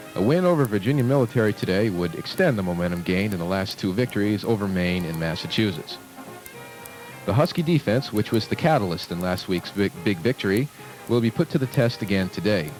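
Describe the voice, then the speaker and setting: A man's fairly low voice, very fast and lively in intonation, with music in the background. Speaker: college radio sports announcer. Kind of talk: sports broadcast football preview.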